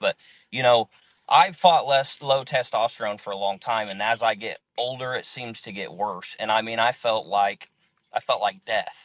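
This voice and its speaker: In a dry, close sound with no echo, a man with an ordinary speaking voice talks at a moderate pace, with ordinary pitch variation and big swings in loudness. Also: medium pitch for a man. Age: 30s. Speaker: clinic patient. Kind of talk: interview answer. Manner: casual, rambling.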